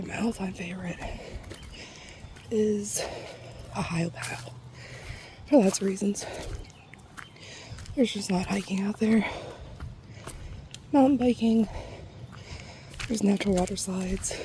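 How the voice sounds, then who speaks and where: A woman with a medium pitch speaks at a moderate pace, pausing long and often. Her pitch varies in an ordinary way over noticeable background noise. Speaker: ASMR creator. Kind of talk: ASMR soft talking during a nature hike. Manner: soft-spoken, relaxed.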